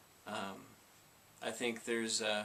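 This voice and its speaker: The pace is very slow. Intonation stays monotone and flat. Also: man. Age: 30s. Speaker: vlogger with Tourette syndrome. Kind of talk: personal testimony vlog. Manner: halting, with repetitions and fillers; vocal tics.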